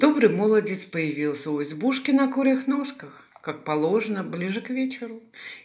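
Here is a natural reading voice.

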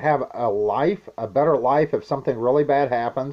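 The speaker is a man, talking very slowly. His pitch varies in an ordinary way, and all around him is quiet. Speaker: prepping vlogger. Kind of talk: casual vlog chat. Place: home room. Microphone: webcam.

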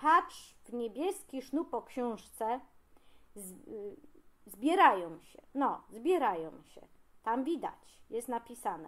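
Speech comes at a very slow pace in a Greater Poland accent. The pitch swings very widely. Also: woman, high pitch for a woman. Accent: Greater Poland regional dialect. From Pniewy area, Greater Poland. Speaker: regional dialect enthusiast. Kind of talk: humorous casual monologue to camera.

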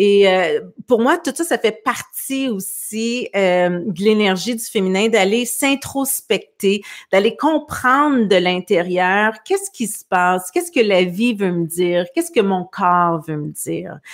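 A woman speaks at a very slow pace. Her background is quiet. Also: lively intonation. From Quebec. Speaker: talk show host. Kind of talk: casual interview. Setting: video call livestream. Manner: hesitant, many fillers. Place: home room. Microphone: studio mic.

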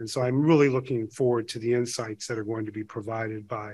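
The pace of this man's speech is moderate. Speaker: panel chair. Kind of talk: conference opening remarks. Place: hall. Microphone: podium.

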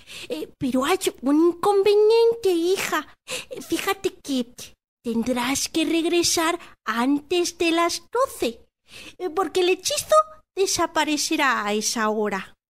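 In a put-on character voice, a female-sounding speaker talks at a fairly slow pace with an extremely high pitch. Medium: read story. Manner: hesitant, stammering.

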